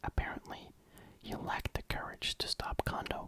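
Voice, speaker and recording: A whispering voice carries a calm, relaxed tone. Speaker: ASMR reader / YouTuber. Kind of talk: ASMR novel narration. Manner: calm, relaxed, soft-spoken.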